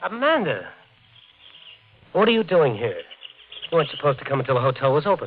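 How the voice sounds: Using a put-on character voice, a man talks at a fairly quick pace, fairly high in pitch with a slightly husky edge and big pitch swings.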